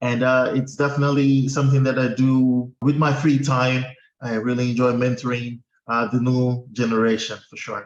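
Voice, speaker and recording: A man with a Portuguese accent speaks at a moderate pace in a medium pitch, his intonation flat and monotone. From Guinea-Bissau. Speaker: accountant. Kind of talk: interview.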